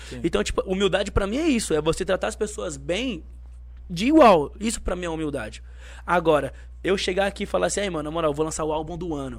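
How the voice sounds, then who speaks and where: Very fast speech from a man, in a very clean recording with a silent background. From São Paulo state (Osasco), Brazil. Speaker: rapper. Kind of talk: casual chat. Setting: studio. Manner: animated.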